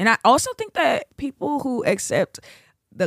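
A woman speaks at a fairly slow pace with an American accent. The sound is dry and close, with no echo. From Chicago, US Midwest. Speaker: preacher and podcast producer. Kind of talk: casual interview, personal testimony.

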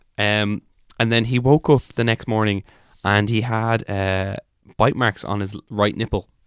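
This man has an unremarkable speaking voice, fairly low in pitch, moving at a fairly slow pace with fairly even intonation, recorded very cleanly against a silent background with a dry, close sound and no echo. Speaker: comedian podcast co-host. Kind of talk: casual comedic banter podcast. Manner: joking, banter, profane.

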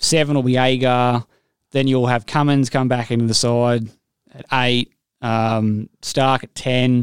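Here a man with an Australian accent speaks at a fairly slow pace, medium pitch and monotone, flat intonation. The sound is dry and close with no echo. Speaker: cricket podcast host. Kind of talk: casual chat.

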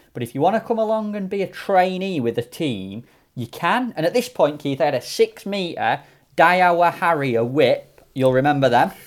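With a South Yorkshire accent, a man speaks at a moderate pace in a high pitch with lively intonation, on a very clean recording with a silent background. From South Yorkshire, mining village near Sheffield/Rotherham. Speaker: match angler. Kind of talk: casual chat.

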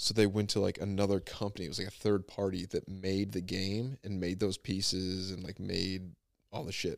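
A man speaks with a very deep, low pitch and fairly even intonation. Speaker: podcast host. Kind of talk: casual chat. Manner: fast.

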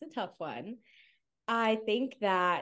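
A woman speaks at a fairly slow pace with ordinary pitch variation and an unremarkable speaking voice. The background is quiet. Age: 20s. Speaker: social media content creator. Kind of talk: podcast interview.

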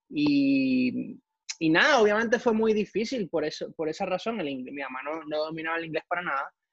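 At a moderate pace, a man speaks in a high pitch with a dry, close sound and no echo. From Ecuador, raised partly in Puerto Rico. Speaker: NASA engineer. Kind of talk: interview.

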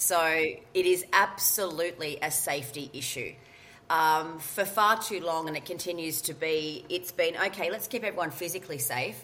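With an Australian accent, a woman talks at a moderate pace. Her fairly low pitch shows ordinary variation. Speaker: workplace mental health consultant. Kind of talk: interview. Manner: loud.

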